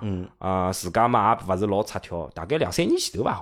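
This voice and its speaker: In an ordinary speaking voice, a man speaks at a moderate pace with lively intonation on a very clean recording with a silent background. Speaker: teacher. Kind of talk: casual chat.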